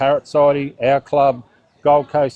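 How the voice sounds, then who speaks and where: A man speaks with an Australian accent at a medium pitch. His pace is moderate. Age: 60s. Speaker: bird club president. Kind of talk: casual interview.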